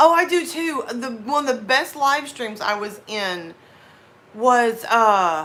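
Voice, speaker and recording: A woman with an American accent speaks very slowly in a high, bright, sharp voice, her pitch swinging very widely amid audible room echo. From US South. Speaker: horror story narrator and live streamer. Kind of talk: casual chat.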